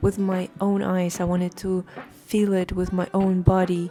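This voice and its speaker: A woman with a Russian accent speaks at a medium pitch and moderate pace over noticeable background noise. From Russia, Moscow. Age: 30s. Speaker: lifestyle vlogger. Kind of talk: personal vlog monologue.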